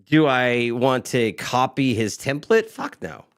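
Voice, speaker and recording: A man speaks in an ordinary speaking voice at medium pitch with ordinary pitch variation. The recording is very clean with a silent background. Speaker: live stream co-host. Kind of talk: casual chat.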